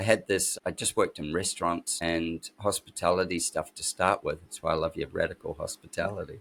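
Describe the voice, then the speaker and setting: A man with a New Zealand accent at a moderate pace, on a very clean recording with a silent background. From New Zealand (Christchurch, Wellington). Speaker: architect and designer. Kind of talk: interview, life story. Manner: casual, halting with fillers.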